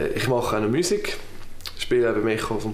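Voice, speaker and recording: A man speaks with a Swiss German accent and ordinary pitch variation, with audible room echo around him. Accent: Swiss German (Uri). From Switzerland (canton Uri). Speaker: political candidate. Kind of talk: campaign self-introduction. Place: home room.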